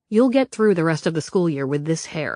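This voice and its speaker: The speaker uses a put-on character voice at a middle pitch, soft-spoken throughout. Intonation is lively and the pace moderate. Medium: read story. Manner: calm, matter-of-fact.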